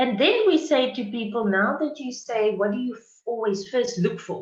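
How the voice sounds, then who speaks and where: A woman with a South African accent speaks at a fairly slow pace. Her voice is somewhat breathy, with lively intonation. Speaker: university diversity workshop facilitator. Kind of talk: conference presentation. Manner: hesitant, many fillers.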